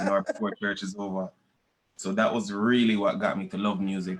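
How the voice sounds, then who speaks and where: In a strong Jamaican accent, a man speaks fairly quickly with a fairly low pitch and monotone, flat intonation. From Jamaica, moved to Canada as a child in the 1990s. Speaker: reggae/dancehall musician. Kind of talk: interview. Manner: casual, repetitive stammering.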